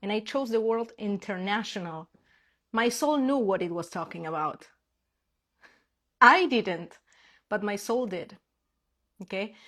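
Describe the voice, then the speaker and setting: A woman with a Spanish accent speaks at a fairly high pitch with lively intonation and long, frequent pauses, on a very clean recording with a silent background. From Argentina. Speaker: spiritual manifestation coach. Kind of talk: casual live stream talk. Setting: Instagram live stream.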